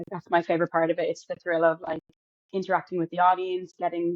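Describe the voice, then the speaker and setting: A woman with an Irish accent and fairly low pitch, in a dry, close sound with no echo. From Ireland. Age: 20s. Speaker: actor and singer. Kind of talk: interview answers.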